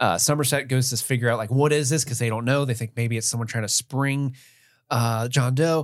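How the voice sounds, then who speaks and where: In a normal speaking voice, a man talks at a fairly quick pace with fairly even intonation. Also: medium pitch for a man, very clean recording, silent background. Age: 30s. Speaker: podcast co-host. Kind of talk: casual chat.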